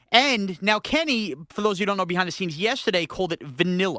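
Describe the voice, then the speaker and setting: The speaker has a New York accent. The pace is very fast. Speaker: podcast co-host. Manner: playful, teasing.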